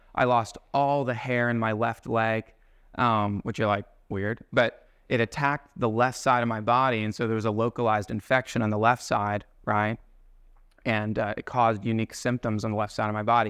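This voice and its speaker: Over a quiet background, a man speaks at a fairly quick pace with a medium pitch. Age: 30s. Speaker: guest speaker at a men's Bible study. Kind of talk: sermon. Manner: animated.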